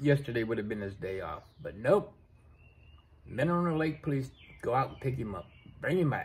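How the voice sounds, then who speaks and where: Somewhat breathy, a man speaks at a moderate pace with big swings in loudness and long, frequent pauses. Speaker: vlogger. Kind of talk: casual vlog chat. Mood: frustrated, venting. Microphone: phone near.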